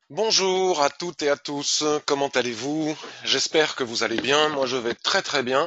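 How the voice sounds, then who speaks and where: A man at a fairly high pitch, very slow in pace, with ordinary pitch variation. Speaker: trading educator. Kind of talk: live market review.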